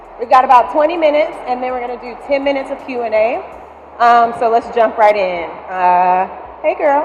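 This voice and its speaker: A high-pitched woman's voice, lively in intonation and fairly quick, with big swings in loudness, audible room echo and noticeable background noise. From Alabama. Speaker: venture investor and panel moderator. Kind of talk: moderated panel interview. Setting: stage with audience.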